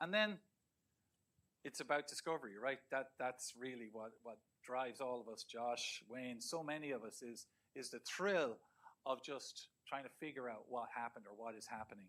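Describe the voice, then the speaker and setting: Speaking in an Irish accent, a man has a bright, sharp tone and medium pitch. His pace is moderate, with ordinary pitch variation. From Ireland. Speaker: research professor. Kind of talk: lecture. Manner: halting, many repetitions and fillers.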